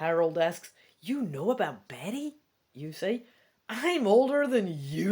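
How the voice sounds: The speaker reads in a natural way. Little else can be heard behind the voice.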